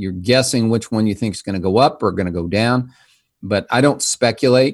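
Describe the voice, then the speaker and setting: A man with medium pitch and lively intonation speaks against a quiet background. It is a normal speaking voice. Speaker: financial advisor. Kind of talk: casual interview chat.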